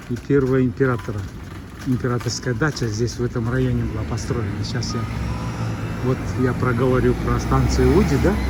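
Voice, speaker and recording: A man talks at a moderate pace amid noticeable background noise and an audible room echo. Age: 60s. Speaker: travel vlogger, former police captain. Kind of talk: casual vlog narration. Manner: halting, frequent filler sounds.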